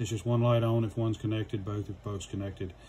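Light background noise sits behind a man's voice. He speaks with fairly even intonation. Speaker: product reviewer. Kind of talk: tutorial. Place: workshop.

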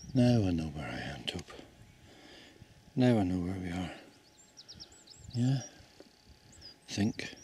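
A man speaks at a fairly slow pace with very deep, low pitch and very wide pitch swings. Light background noise sits behind him. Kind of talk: casual vlog chat. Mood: playful, joking. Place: open country. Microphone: phone near.

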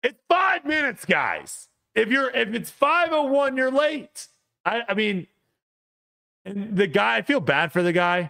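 Against a quiet background, a man uses a raised, projected voice with very wide pitch swings, talking at a very slow pace with long, frequent pauses. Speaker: podcast co-host. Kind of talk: casual podcast storytelling. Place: home room. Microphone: studio mic.

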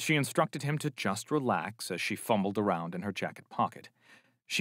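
Intonation here is lively. The delivery is plain reading aloud.

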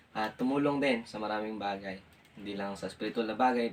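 Noticeable background noise sits behind a man whose medium pitch keeps a fairly even intonation. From Philippines, Aklan. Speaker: missionary. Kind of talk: religious testimony in interview.

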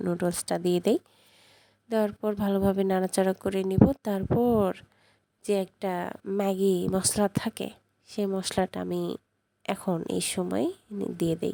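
A woman talks at a medium pitch with a dark, mellow tone and monotone, flat intonation. The sound is dry and close, with no echo. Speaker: cooking vlogger. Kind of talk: casual cooking vlog talk.

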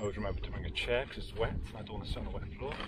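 Clear background noise sits behind a man talking at a very fast pace. His pitch is fairly low, with ordinary variation.

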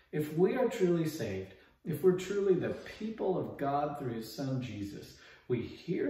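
A man talks at a moderate speed, and room echo can be heard. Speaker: pastor giving a daily devotional. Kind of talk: short devotional sermon. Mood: earnest, encouraging. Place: home room.

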